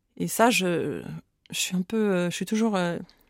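A woman speaks at a moderate pace in a dark, mellow tone. Her pitch varies in an ordinary way. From France, rural Oise. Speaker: author. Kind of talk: interview. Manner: halting, many repetitions.

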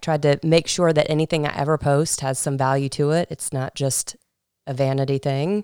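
A woman with an American accent and a very deep, low pitch speaks at a moderate pace with fairly even intonation and a dark, mellow tone, recorded very cleanly with a silent background in a dry, close sound with no echo. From Georgia, US. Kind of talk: casual interview chat.

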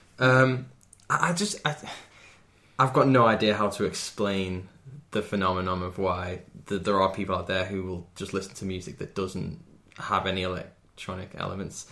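With a Merseyside accent, a man speaks in a very deep, low pitch and a bright, sharp tone, leaving long, frequent pauses. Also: ordinary pitch variation, moderate pace. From Wirral, Merseyside, England. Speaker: electronic musician. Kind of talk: casual chat.

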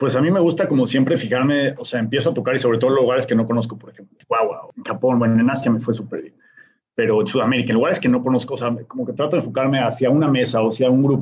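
Speaking at a very fast pace, a man with a medium pitch lets his loudness swing widely. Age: 30s. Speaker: DJ and music producer. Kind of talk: interview conversation. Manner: animated.

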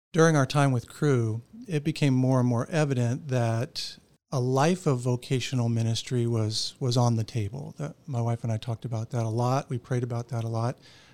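A man with an American accent speaks in a normal speaking voice at a moderate pace, his medium pitch and fairly even intonation captured in a very clean recording with a silent background. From Florida (Orlando). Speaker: pastor. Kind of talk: casual interview.

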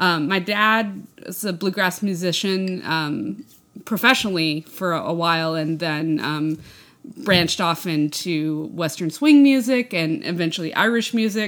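An ordinary speaking voice from a woman with an American accent, fairly low in pitch, with lively intonation and a fairly slow pace. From West Texas, US. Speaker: podcast co-host. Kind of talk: casual chat.

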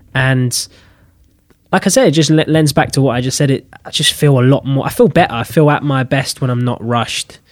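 Fairly quick speech with a London accent and fairly even intonation. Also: man, fairly high pitch for a man. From London (Pimlico). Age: 20s. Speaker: actor. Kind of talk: casual chat.

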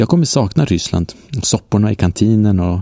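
This man's voice sits fairly low, with a dark, mellow tone and a dry, close sound with no echo. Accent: slight Norrland. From northern Sweden (Norrland). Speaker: travel podcast host. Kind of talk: travel narration. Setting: outdoors on hostel balcony.

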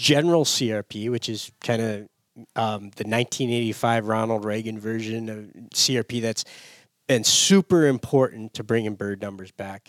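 Here a man speaks with an Upper Midwest accent at a medium pitch and a moderate pace. His pitch varies in an ordinary way, and the sound is dry and close, with no echo. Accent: Upper Midwest American. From US Midwest. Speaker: conservation organization staffer. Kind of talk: casual interview chat. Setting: studio.

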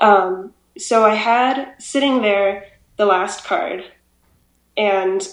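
A woman at a medium pitch speaks with audible room echo around her. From Hawaii. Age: 20s. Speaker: bride-to-be making her own wedding dress. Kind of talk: casual chat. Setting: video call.

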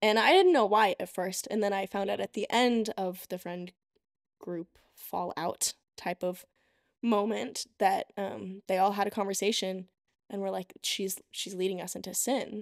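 In a very clean recording with a silent background and a dry, close sound with no echo, a woman with an unremarkable speaking voice talks at a fairly slow pace, her medium pitch fairly even in intonation. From US (Texas, moved around; Russia summers). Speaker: college student. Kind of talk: casual chat. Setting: in-person studio recording.

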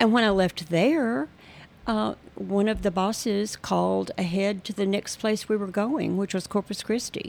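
A woman with an ordinary speaking voice and an American accent talks at medium pitch and a moderate pace with ordinary pitch variation, on a very clean recording with a silent background. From Texas, near Fort Worth. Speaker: retired banker. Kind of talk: testimony.

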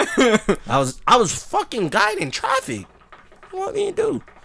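The speaker's tone is animated and the pace fairly slow. Noticeable background noise runs underneath. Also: man. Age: 20s. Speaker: podcast co-host. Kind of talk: casual chat. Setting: studio.

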